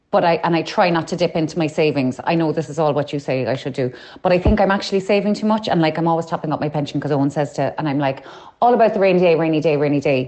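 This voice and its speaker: A woman with an Irish accent speaks in a very deep, low voice at a very fast pace. Her pitch varies in an ordinary way, and there is noticeable background noise. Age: 40s. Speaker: listener sending a voice note. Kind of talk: voice note. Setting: recorded voice message.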